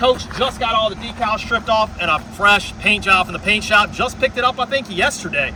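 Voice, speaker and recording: A loud man at a high pitch, talking at a fairly quick pace amid noticeable background noise. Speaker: bus salesman. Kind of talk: sales walkaround tour. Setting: outdoors on a gravel lot. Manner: casual, with fillers.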